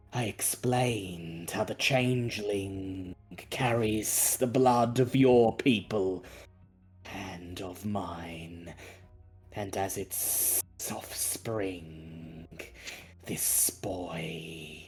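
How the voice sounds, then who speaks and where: A man puts on a character voice with a very deep, low pitch, speaking at a very slow pace over faint music in the background. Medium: actual play. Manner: formal, measured.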